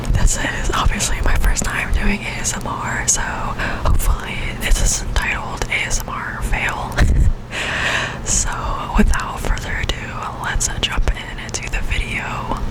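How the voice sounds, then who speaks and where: A woman's whispering comes at a fairly slow pace with noticeable background noise behind it. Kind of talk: ASMR get-ready-with-me makeup talk. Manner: soft-spoken.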